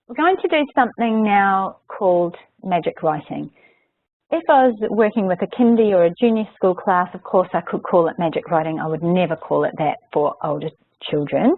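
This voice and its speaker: A woman speaks at a moderate pace in a plain, everyday voice of medium pitch with lively intonation. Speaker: software trainer. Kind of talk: webinar tutorial. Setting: online webinar.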